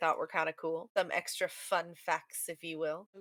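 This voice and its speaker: In a dry, close sound with no echo, a woman talks at a fairly quick pace with a bright, sharp tone. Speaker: podcast co-host, parent. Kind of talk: casual podcast chat.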